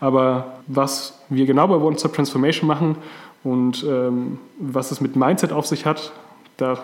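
A man talks with fairly even intonation. There is noticeable noise in the background. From Franconia, Germany. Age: 30s. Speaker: podcast co-host, transformation consultant. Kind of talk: casual podcast introduction.

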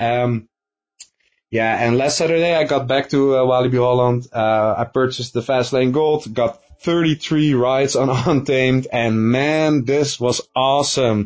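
A man at a medium pitch speaks at a very slow pace, with fairly even intonation and very even loudness. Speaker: YouTube coaster reviewer. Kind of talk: recorded statement.

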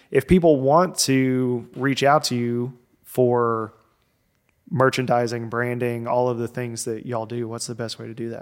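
A man with a plain, everyday voice at medium pitch, a fairly slow pace, fairly even intonation and big swings in loudness. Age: 30s. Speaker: podcast host. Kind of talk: casual chat.

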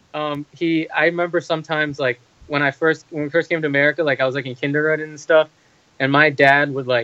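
A man speaks very fast in a fairly high pitch. His intonation stays monotone and flat. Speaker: medical student. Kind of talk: casual chat.

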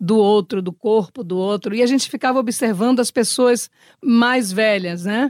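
The recording is dry and close with no echo, and a woman speaks at a moderate pace in an unremarkable speaking voice. Her pitch sits fairly high with ordinary variation. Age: 60s. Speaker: actress. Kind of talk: interview.

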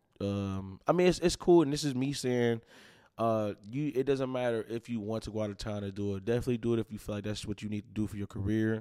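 With a dark, mellow tone, a man talks at a very fast pace, his loudness swinging widely, on a very clean recording with a silent background. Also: medium pitch for a man, ordinary pitch variation. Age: 20s. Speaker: hip-hop artist. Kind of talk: casual interview chat.

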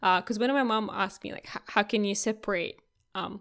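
Fairly quick pacing with fairly even intonation. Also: woman, very clean recording, silent background. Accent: Russian. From Russia. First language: Russian. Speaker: tech podcast co-host. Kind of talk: casual chat. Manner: many filler words and false starts.

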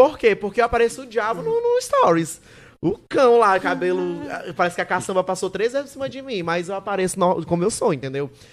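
Speaking at a very fast pace, a man uses a high pitch, lively intonation and an animated tone. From Maranhão, Brazil (Santo Inês). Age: 20s. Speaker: digital content creator, comedian. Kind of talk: casual chat.

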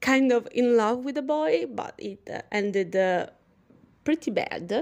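A woman with an Italian accent speaks very slowly at a fairly high pitch. The recording is very clean, with a silent background. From Italy. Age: young. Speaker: personal trainer and wellness podcaster. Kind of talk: casual monologue. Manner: animated; halting.

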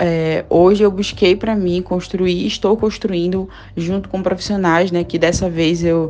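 Here a woman speaks in a fairly low pitch. Her intonation stays monotone and flat. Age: 30s. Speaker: systems analyst sharing health story. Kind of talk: testimony.

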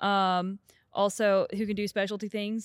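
A woman with an American accent is captured on a very clean recording with a silent background. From US South, Atlanta, Georgia. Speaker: flight software engineer. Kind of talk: casual chat.

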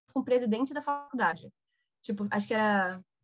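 A woman with a fairly high pitch and ordinary pitch variation speaks while music plays in the background. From Brazil. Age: 20s. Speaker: recent university graduate. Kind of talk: casual interview.

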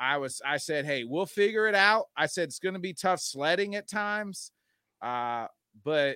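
A man's high, bright and sharp voice, dry and close with no echo, on a very clean recording with a silent background. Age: 30s. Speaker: sports podcast host. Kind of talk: casual sports chat.

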